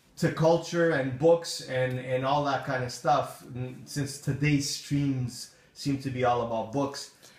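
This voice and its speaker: Over noticeable background noise and audible room echo, a man with a fairly high pitch talks at a fairly slow pace with fairly even intonation and hardly any pauses. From Portugal. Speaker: live streamer. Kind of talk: casual chat.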